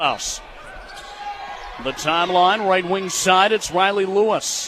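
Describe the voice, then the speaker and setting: Against noticeable background noise, a man speaks with an American accent. His pace is very slow and his intonation fairly even. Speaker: college radio sports play-by-play broadcaster. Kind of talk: basketball radio play-by-play.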